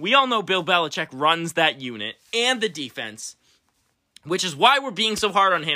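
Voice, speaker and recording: In a raised, projected voice, a man speaks with an animated, bright, sharp tone and very wide pitch swings. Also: very clean recording, silent background. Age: 20s. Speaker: sports podcast host. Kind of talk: casual sports chat.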